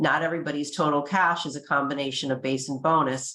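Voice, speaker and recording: A woman talks in a very deep, low voice at a fairly quick pace. Her intonation stays fairly even. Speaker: compensation consultant presenting survey data. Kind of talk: webinar presentation. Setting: online webinar. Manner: fast.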